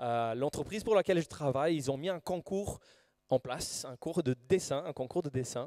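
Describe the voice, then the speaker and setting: The speaker has a Brazilian accent and a dark, mellow tone with ordinary pitch variation. The recording is very clean, with a silent background and a dry, close sound with no echo. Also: man. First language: Portuguese (speaking French). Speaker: preacher. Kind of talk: sermon. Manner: halting.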